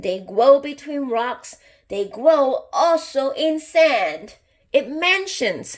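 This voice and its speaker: A put-on character voice at a very slow pace, with lively intonation. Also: woman. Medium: read story.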